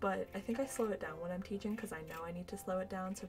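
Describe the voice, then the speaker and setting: A woman of medium pitch talking at a very fast pace amid noticeable background noise. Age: 20s. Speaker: streamer and education student. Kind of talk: casual livestream chat.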